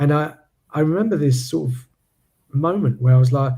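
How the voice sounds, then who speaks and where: This man's voice has a dark, mellow tone and sits at medium pitch. It is somewhat breathy. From UK. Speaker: podcast host. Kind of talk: interview conversation. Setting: live stream.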